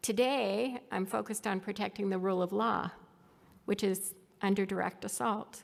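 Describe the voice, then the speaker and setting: A woman talks in a plain, everyday voice at a medium pitch. Her intonation is fairly even and her pace moderate. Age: 60s. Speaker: former tech executive giving a conference talk. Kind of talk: conference presentation.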